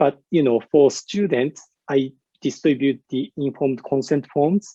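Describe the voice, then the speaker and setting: A man's fairly high voice with a dark, mellow tone and a Japanese accent, dry and close with no echo. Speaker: university researcher and English teacher. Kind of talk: conference presentation. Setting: virtual conference. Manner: hesitant with many fillers.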